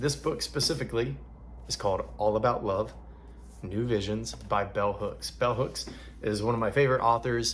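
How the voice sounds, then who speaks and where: A man talks at a moderate pace. He has a slight Southern US accent. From US South, Alabama. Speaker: book reader and online content creator.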